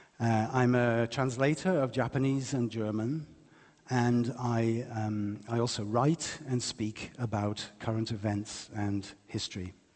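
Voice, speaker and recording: Speaking at a fairly slow pace, a man with an English accent uses a medium pitch and fairly even intonation. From England, West Midlands. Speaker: lecturer and writer. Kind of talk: public lecture.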